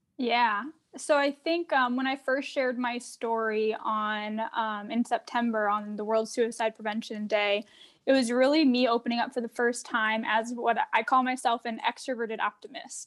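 A woman at a fairly high pitch with fairly even intonation and a moderate pace, on a very clean recording with a silent background. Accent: American. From Arizona. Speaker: trend researcher and mental health advocate. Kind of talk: casual interview chat.

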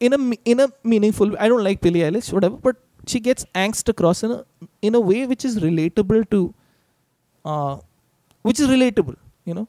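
Speaking fairly quickly with long, frequent pauses, a man with a high pitch and a dark, mellow tone shows ordinary pitch variation in a dry, close sound with no echo. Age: 30s. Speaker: musician. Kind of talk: casual chat.

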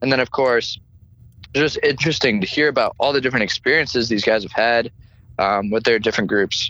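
In a plain, everyday voice, a man with a medium pitch speaks at a fairly quick pace with ordinary pitch variation. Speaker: fraternity chapter president. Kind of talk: interview.

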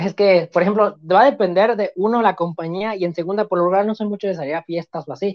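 A man's high voice at a fairly quick pace, with ordinary pitch variation and hardly any pauses. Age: 20s. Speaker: student guest. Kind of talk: casual interview chat.

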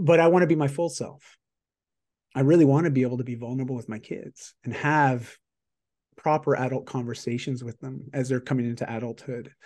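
An unremarkable speaking voice, this man talks at a medium pitch and fairly quick pace, with fairly even intonation, big swings in loudness and a quiet background. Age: 40s. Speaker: executive performance coach and author. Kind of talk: casual interview chat.

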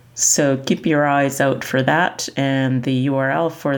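Against noticeable background noise, a woman with a Canadian accent speaks very slowly in a very deep, low voice. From Canada. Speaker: podcast host. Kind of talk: podcast narration and interview.

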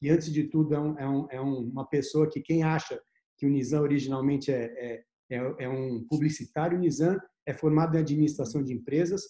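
A man with a dark, mellow tone and a fairly high pitch speaks at a moderate pace. His voice is somewhat breathy, with ordinary pitch variation. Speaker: investment firm partner and host. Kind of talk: casual interview chat. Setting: video call.

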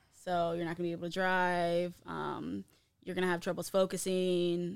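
With an American accent, a woman speaks at a moderate pace on a very clean recording with a silent background. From Ohio, US Midwest. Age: 20s. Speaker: guest sharing recovery story. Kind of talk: testimony.

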